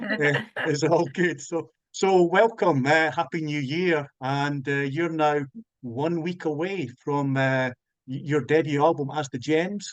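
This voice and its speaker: In a Scottish accent, a man talks at a fairly slow pace, fairly high in pitch, with ordinary pitch variation. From Scotland. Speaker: music interviewer. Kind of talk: interview. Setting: video call. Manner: halting.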